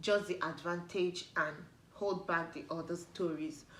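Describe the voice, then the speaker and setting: In a Nigerian accent, a woman with a fairly low pitch talks at a fairly slow pace amid audible room echo. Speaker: YouTuber. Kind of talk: casual vlog talk to camera. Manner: animated.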